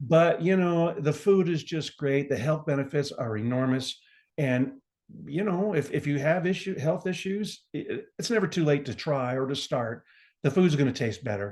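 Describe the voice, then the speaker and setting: A man talks at a moderate pace and a fairly high pitch, somewhat breathy, with lively intonation. The background is quiet. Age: 60s. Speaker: gardener and pharmaceutical rep. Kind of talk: casual interview chat. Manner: animated.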